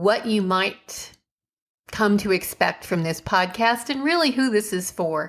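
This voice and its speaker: In a very clean recording with a silent background, a woman talks at a fairly slow pace with lively intonation in an ordinary speaking voice. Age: 50s. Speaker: podcast host and online entrepreneur. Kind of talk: podcast monologue. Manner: casual, conversational.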